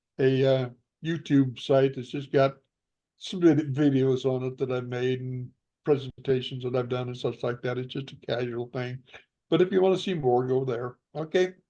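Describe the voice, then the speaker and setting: This man has a dark, mellow tone and fairly even intonation, with an American accent. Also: medium pitch for a man, moderate pace. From Northern California. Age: 80s+. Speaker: Bigfoot researcher and author. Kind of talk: interview. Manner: halting.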